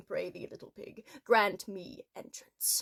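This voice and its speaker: A woman puts on a character voice, pitched fairly high. She speaks at a fairly slow pace. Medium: solo performance. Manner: menacing, archaic.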